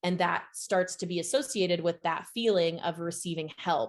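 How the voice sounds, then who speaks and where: A woman's voice, fairly low in pitch. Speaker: SEO agency CEO, webinar speaker. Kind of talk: webinar presentation. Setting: online webinar. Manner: fast; casual, filler-heavy.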